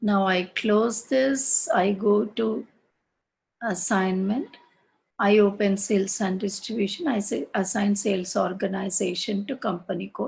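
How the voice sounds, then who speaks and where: Somewhat breathy, a woman speaks at a fairly slow pace with ordinary pitch variation. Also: medium pitch for a woman. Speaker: SAP course instructor. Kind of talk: online class tutorial. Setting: online class with screen sharing.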